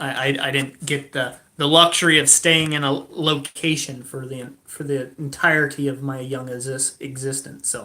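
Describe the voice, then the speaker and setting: The voice moves at a moderate pace with hardly any pauses and a bright, sharp tone. Its intonation is monotone and flat. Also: man, fairly high pitch for a man. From moved around US as a kid. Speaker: blacksmith livestream host. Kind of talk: casual livestream chat. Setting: indoors at home, livestream.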